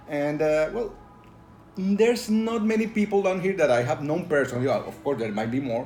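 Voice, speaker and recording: With a Spanish accent, a man speaks at a moderate pace and fairly high pitch, swinging very widely up and down. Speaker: tabletop role-playing game reviewer. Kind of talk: casual video review. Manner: halting, many fillers.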